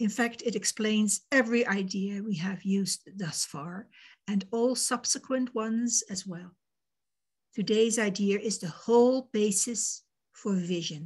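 A woman's voice comes through fairly high and somewhat breathy. The background is quiet. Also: ordinary pitch variation, fairly slow pace. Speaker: volunteer discussion facilitator. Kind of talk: facilitated group discussion. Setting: video call. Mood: calm, measured. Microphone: video call.

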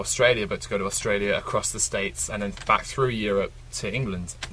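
A man rushes through his words at a very fast pace, with noticeable noise behind him. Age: 20s. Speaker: record-breaking traveller. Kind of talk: interview.

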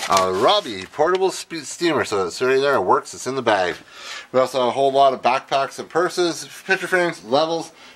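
This man's voice has lively intonation and a fairly bright tone. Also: medium pitch for a man, fairly quick pace.

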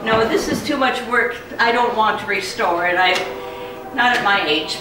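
Against noticeable background noise and audible room echo, a woman talks at a moderate pace in a fairly high pitch. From United States. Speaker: retired music professor. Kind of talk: interview answer. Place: home room. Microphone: camera far.

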